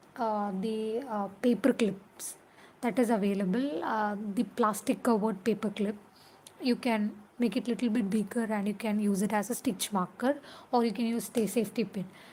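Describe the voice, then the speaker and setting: Speaking with a Keralan accent at a moderate pace, a woman has a fairly high, somewhat breathy voice and fairly even intonation. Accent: Indian English (Malayali). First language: Malayalam. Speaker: crochet vlogger. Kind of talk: casual tutorial vlog. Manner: halting, many fillers.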